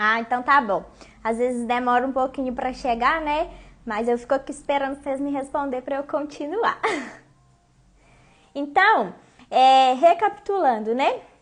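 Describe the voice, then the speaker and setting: A woman speaks in a high voice with lively intonation. She leaves long, frequent pauses. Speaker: online coach / teacher. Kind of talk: live-streamed class to followers. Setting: Instagram live stream. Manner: fast, talks without stopping; casual, conversational.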